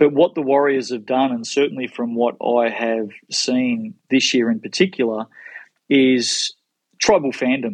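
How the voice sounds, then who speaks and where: A man with an Australian accent speaks at a fairly slow pace, his pitch medium and ordinary in its variation. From Melbourne, Australia. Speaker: sports marketing executive. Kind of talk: interview.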